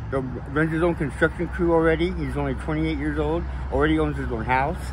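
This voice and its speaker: A man with an American accent at a very fast pace, amid noticeable background noise and audible room echo. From Oregon. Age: 60s. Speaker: homeless man, former apple packer. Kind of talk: street interview. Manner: hesitant, many fillers.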